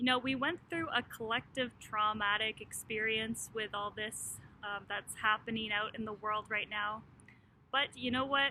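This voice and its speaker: Speaking at a moderate pace, a woman uses an ordinary speaking voice, fairly high in pitch, with fairly even intonation. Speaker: clinical hypnotist. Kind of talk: casual talk to camera, friendly intro. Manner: conversational, friendly.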